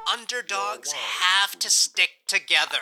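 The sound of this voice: In a put-on character voice, a man talks at a fairly slow pace with a high pitch, a bright, sharp tone, vocal fry and ordinary pitch variation.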